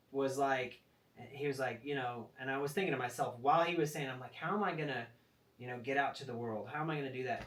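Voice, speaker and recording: Very fast, medium-pitched male speech against noticeable background noise. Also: ordinary pitch variation. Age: 40s. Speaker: rodeo athlete. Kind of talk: casual chat.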